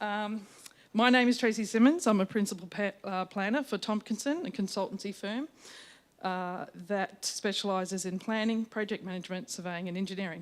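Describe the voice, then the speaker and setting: Over a silent background in a very clean recording, a woman with an Australian accent talks at a medium pitch and a fairly quick pace with ordinary pitch variation. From Australia, Victoria (Colac area). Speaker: town planner. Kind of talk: formal submission to council. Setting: council meeting chamber with microphone. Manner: loud.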